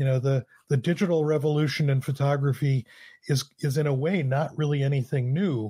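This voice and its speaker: A man's fairly high, dark and mellow voice, somewhat breathy, at a fairly quick pace and very even loudness, dry and close with no echo, in a very clean recording over a silent background. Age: 50s. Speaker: photographer and former professor. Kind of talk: interview.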